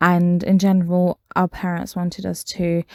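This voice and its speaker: A woman speaks with a British accent at a very slow pace. Her voice is fairly low with a dark, mellow tone. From Britain. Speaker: podcast host. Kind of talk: casual monologue. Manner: hesitant, many fillers.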